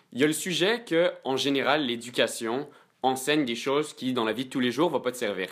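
A man's plain, everyday voice, medium in pitch, at a fairly quick pace with lively intonation, on a very clean recording with a silent background. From Quebec. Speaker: student. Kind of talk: casual debate.

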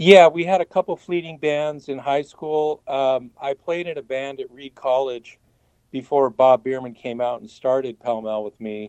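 Using an unremarkable speaking voice, a man with an American accent talks at a moderate pace and fairly high pitch, with ordinary pitch variation, big swings in loudness, and a dry, close sound with no echo. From Portland, Oregon, US. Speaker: guitarist, band founding member. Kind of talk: interview.

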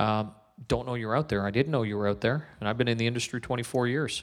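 Over a very clean recording with a silent background, a man uses an ordinary speaking voice at medium pitch with fairly even intonation. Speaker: radio host. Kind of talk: casual interview. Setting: conference venue, live recording.

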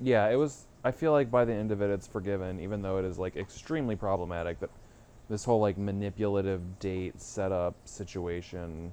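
A man speaks at a fairly quick pace with ordinary pitch variation. His voice is fairly low in pitch, with a dark, mellow tone. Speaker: podcast co-host. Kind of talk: casual banter reviewing a film.

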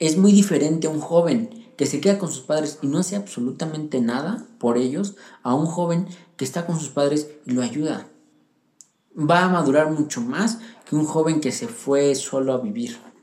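This man's voice is fairly high in pitch with a dark, mellow tone, lively intonation and a moderate pace. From central Mexico (Pachuca, Hidalgo). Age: 20s. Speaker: young churchgoer sharing his faith story. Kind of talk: personal testimony.

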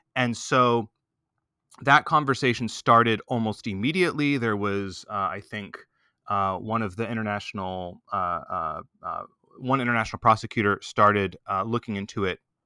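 Against a silent background in a very clean recording, a man with an American accent speaks at a moderate pace. His medium-pitched voice has ordinary pitch variation and a bright, sharp tone, with a dry, close sound with no echo. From Texas. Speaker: researcher on genocide and human rights. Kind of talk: interview. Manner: hesitant, many fillers and repetitions.

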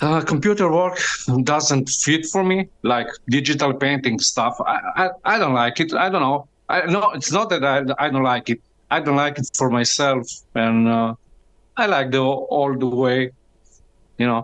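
A man with a Slovenian accent at fairly high pitch, fairly slow pace, ordinary pitch variation, very even loudness and long, frequent pauses. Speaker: fan co-host. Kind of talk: interview. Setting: remote call. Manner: halting.

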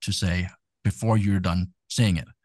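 Someone with a Danish accent talks at a moderate pace with ordinary pitch variation, in a dry, close sound with no echo and a quiet background. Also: man. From Denmark. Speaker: tech entrepreneur and DJ. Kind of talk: casual interview. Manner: hesitant with many fillers.

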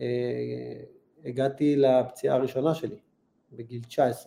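A dark, mellow tone at a moderate pace. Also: man. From Israel, Holon. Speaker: retired football goalkeeper. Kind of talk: interview.

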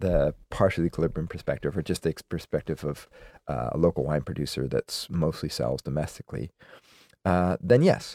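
With a very deep, low pitch and vocal fry, a man speaks at a fairly quick pace with lively intonation in a dry, close sound with no echo. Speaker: beer podcast co-host. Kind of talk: casual chat. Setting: studio. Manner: trailing off.

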